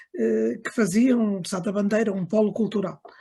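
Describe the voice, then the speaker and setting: Her voice sits at a medium pitch. The woman's pitch shifts in an ordinary way. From Angola (Lubango), moved to Portugal at 15. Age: 60s. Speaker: book launch speaker, daughter of an author. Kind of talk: book launch remarks. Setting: video call. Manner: halting, many fillers.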